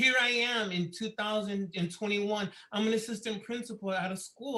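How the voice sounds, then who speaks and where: A man projects a raised, high voice with a bright, sharp tone and ordinary pitch variation. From Miami, Florida. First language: Spanish. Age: 50s. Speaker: assistant principal. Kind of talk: public meeting presentation.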